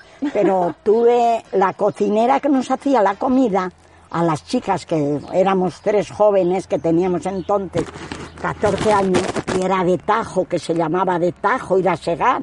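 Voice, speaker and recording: Over noticeable background noise, a woman talks at a fairly slow pace and her loudness stays very even. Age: 80s+. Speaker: retired rural villager. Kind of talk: oral history interview.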